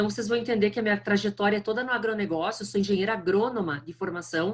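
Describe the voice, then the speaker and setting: Here a woman talks with a strong southern Brazilian accent. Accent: thick southern Brazilian. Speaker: marketing executive. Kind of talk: lecture.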